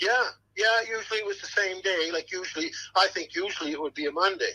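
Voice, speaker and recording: A man with a high pitch uses a raised, projected voice with a bright, sharp tone, talking at a very fast pace with ordinary pitch variation. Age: 60s. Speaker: acquaintance of a family in a news case. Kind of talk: interview. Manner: halting, repetitive.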